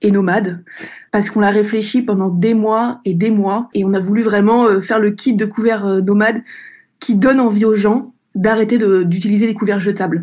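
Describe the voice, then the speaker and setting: At a moderate pace, a woman speaks at a medium pitch with monotone, flat intonation. Her loudness stays very even. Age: 30s. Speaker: entrepreneur. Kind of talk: testimony.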